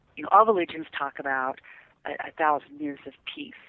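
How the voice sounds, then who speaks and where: Quick-paced at a fair clip, a woman talks at a very deep, low pitch with fairly even intonation. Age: 60s. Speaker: guest speaker on earth energy and ancient sites. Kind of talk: casual chat. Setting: radio show.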